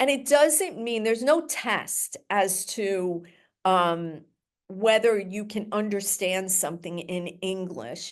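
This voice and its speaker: Lively intonation marks this woman's very slow delivery over a quiet background. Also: medium pitch for a woman. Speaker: special education lawyer. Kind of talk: webinar presentation. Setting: online webinar with translator. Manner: speaking slowly for translator.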